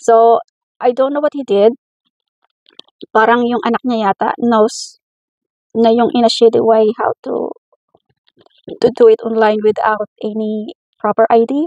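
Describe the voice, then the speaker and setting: Speaking at a fairly slow pace with long, frequent pauses, a woman uses a dark, mellow tone and fairly even intonation in a dry, close sound with no echo. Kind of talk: casual talk to camera.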